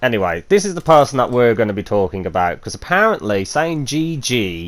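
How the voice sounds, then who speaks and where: Pitch swings very widely as the speaker moves along at a fairly quick pace. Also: man, medium pitch for a man. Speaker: gaming youtuber. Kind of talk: gameplay commentary. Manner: casual with many fillers.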